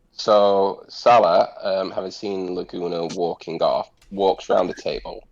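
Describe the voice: It is plain reading aloud. Pitch variation is ordinary.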